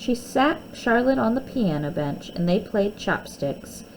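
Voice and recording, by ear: Her pace is fairly slow, with big pitch swings. The woman's tone is slightly mellow.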